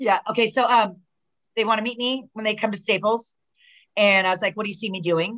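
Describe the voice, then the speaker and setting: Speech comes at a fairly quick pace with an American accent and fairly even intonation. Long pauses break it up often. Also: woman, fairly high pitch for a woman. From Southern California. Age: 50s. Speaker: professional wrestler. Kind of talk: casual chat.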